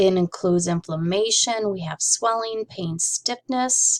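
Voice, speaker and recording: A woman has an ordinary speaking voice, with ordinary pitch variation at a moderate pace. The sound is dry and close, with no echo. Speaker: medical coding instructor. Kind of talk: lecture.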